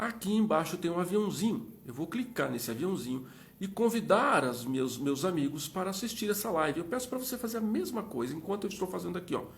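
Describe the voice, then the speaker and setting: A man's high-pitched voice, fairly quick with hardly any pauses, very wide pitch swings, and audible room echo. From Minas Gerais, Brazil. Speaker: live interview host. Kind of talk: live stream chat. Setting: Instagram live. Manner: fast.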